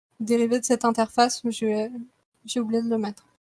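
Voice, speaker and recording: With a high pitch, a woman speaks in a dry, close sound with no echo. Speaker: game developer giving a talk. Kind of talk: technical presentation. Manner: hesitant, many fillers.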